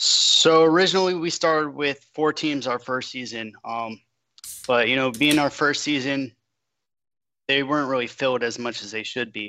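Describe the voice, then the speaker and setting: With an American accent and an ordinary speaking voice, a man speaks at a moderate pace and fairly high pitch, with ordinary pitch variation. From Long Island, New York, then Florida. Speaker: football league commissioner. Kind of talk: casual panel discussion.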